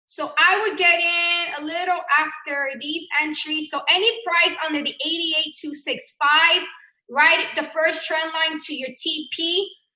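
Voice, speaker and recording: Her voice is raised and projected, and this woman's pitch is extremely high. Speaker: forex trading teacher. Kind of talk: live trading tutorial.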